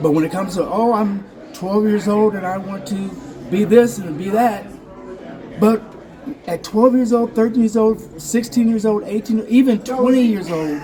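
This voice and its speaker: Noticeable noise sits in the background. The talking proceeds at a moderate speed. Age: 60s. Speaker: actor's son attending a film festival. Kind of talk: casual interview. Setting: filmmaker's lounge at a film festival. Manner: halting, with false starts.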